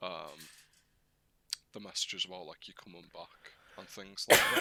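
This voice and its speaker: A quiet man at a moderate pace. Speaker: podcast co-host. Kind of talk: casual chat. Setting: live-streamed podcast. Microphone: too quiet for listeners.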